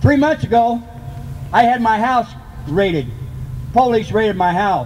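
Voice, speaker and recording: Noticeable background noise surrounds a man speaking at a moderate pace in a high pitch. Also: ordinary pitch variation. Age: 50s. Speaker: cancer patient activist. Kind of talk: personal testimony speech.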